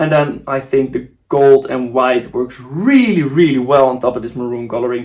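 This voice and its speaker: A man with a Dutch accent talks at a moderate pace and medium pitch, with fairly even intonation and hardly any pauses. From Netherlands. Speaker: football kit designer YouTuber. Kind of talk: casual video commentary. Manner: casual, with fillers and restarts.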